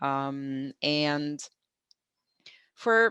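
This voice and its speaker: A woman speaks with a Brazilian accent. The background is quiet. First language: Brazilian Portuguese. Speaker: conference interpreter. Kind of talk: webinar presentation.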